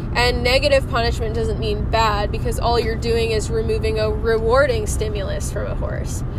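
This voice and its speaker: A woman speaks at a moderate pace while noticeable background noise carries on. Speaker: horse trainer and podcaster. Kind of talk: casual monologue. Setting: in a car. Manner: rambling, filler-heavy.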